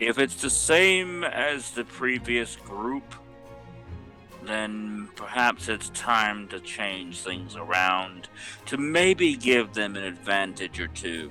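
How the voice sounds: Putting on a character voice over faint background music, a man talks slowly at a fairly low pitch with a bright, sharp tone and lively intonation.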